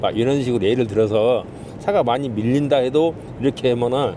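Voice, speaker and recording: Through noticeable background noise, a man of medium pitch speaks at a fairly quick pace with a Jeolla accent. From Jeolla, South Korea. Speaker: taxi driver. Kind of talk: interview. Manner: formal.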